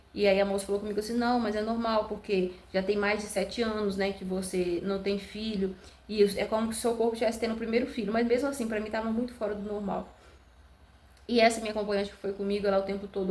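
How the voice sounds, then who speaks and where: A woman talks at a very fast pace in a monotone, flat intonation. Noticeable background noise sits behind her. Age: 20s. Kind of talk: casual talk to camera, birth story.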